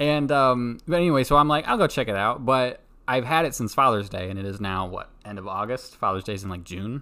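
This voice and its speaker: A soft-spoken man with a bright, sharp tone and medium pitch talks at a fairly quick pace. His intonation is lively, and the recording is very clean with a silent background. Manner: loud, though says he is normally soft-spoken.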